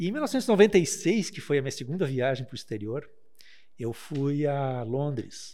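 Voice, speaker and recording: A man with a fairly high, dark and mellow voice speaks fairly slowly, his intonation lively and his loudness swinging widely. The recording is very clean with a silent background. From Taquara, Rio Grande do Sul, Brazil. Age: 50s. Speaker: lawyer. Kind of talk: casual chat.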